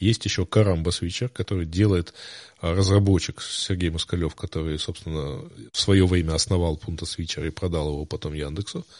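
A man's very deep, low pitch with fairly even intonation, dry, close sound with no echo and a quiet background. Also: moderate pace. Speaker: podcast host. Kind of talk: casual chat. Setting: live stream.

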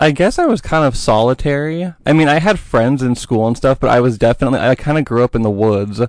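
In a normal speaking voice, a man talks at a fairly quick pace with fairly high pitch, lively intonation and very even loudness over a quiet background. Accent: American. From Oregon, US. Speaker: podcast guest. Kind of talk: interview.

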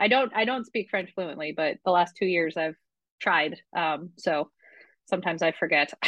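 In an American accent, a woman with a plain, everyday voice speaks at a moderate pace with ordinary pitch variation. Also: fairly low pitch for a woman. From Vermont, US. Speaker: rum brand representative, former bartender. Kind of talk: interview.

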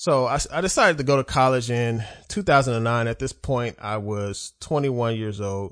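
Against a quiet background, a man with an unremarkable speaking voice talks at a moderate pace, his medium pitch showing ordinary variation. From Oklahoma City, US. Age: 30s. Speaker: podcast host. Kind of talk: solo monologue podcast.

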